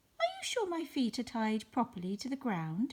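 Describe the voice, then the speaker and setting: Using a put-on character voice, a female-sounding speaker talks at a high pitch for a woman and a moderate pace. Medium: read story.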